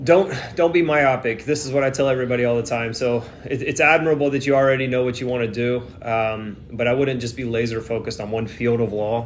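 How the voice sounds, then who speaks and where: Over noticeable background noise, a man with an American accent talks at a very fast pace and medium pitch. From Texas. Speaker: immigration attorney. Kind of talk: live Q&A stream. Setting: livestream from airport during flight delay. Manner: casual, filler-heavy.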